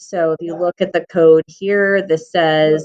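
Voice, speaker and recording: Captured with a dry, close sound and no echo, a woman uses a normal speaking voice at a fairly low pitch. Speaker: coding teacher. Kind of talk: tutorial. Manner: casual with many fillers.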